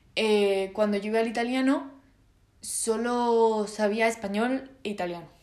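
A woman with a fairly high voice speaks amid audible room echo. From Spain. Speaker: podcaster. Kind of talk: solo casual monologue. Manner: hesitant, many fillers.

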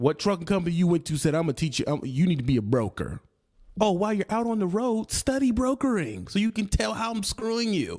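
Very fast speech from a man with an American accent, high in pitch with very wide pitch swings, on a very clean recording with a silent background. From United States. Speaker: trucking vlogger. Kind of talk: angry rant. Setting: solo video channel. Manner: aggressive, loud, confrontational, scolding the audience; emphatic, punchy, street slang, repeats for emphasis.

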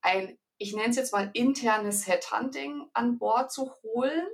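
A woman's voice with ordinary pitch variation. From Bavaria, Ingolstadt. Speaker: HR manager. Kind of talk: interview.

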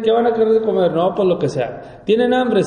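The clip carries noticeable background noise and an audible room echo. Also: man. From Mexico, Monterrey. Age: 40s. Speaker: life coach and businessman. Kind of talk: interview conversation.

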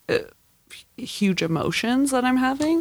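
A woman talks in an ordinary speaking voice at a fairly slow pace. Her intonation is lively, and the recording is very clean with a silent background. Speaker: comedian and server. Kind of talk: casual chat.

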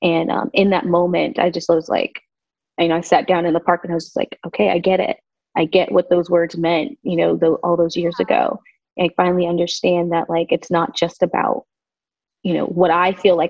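A woman with an American accent talks at a fairly quick pace in an ordinary speaking voice, fairly low in pitch, with ordinary pitch variation. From Southern California. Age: 30s. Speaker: interior designer. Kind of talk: casual chat.

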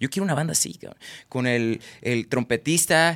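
A man with a Mexican accent and ordinary pitch variation, dry and close with no echo, on a very clean recording with a silent background. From Tabasco, Mexico; Guadalajara, Mexico. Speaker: singer-songwriter and comedian. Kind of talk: casual chat.

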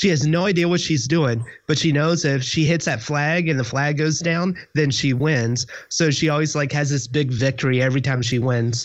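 A man's unremarkable speaking voice, fairly high in pitch with ordinary pitch variation, at a moderate pace and very even loudness. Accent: American. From US South, Georgia/Kentucky. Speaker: panelist, Ruby developer. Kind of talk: casual chat. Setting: video call.

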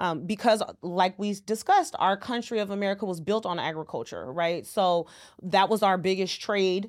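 A woman talks at a moderate pace with a medium pitch. Hers is a plain, everyday voice. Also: fairly even intonation. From California, San Francisco Bay Area. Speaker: accountant. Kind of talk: interview.

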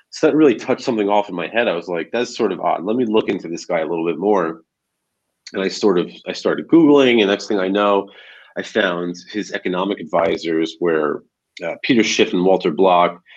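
In a plain, everyday voice, a man with an American accent speaks fairly quickly at a fairly low pitch. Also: lively intonation. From New Jersey, near New York City. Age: 30s. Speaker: political activist. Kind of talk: casual interview.

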